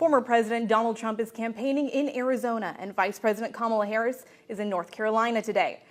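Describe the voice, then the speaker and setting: A woman talks at a very fast pace with hardly any pauses and fairly even intonation. Music plays in the background. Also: fairly high pitch for a woman. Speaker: TV news reporter and anchor. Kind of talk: TV news reporting and anchoring.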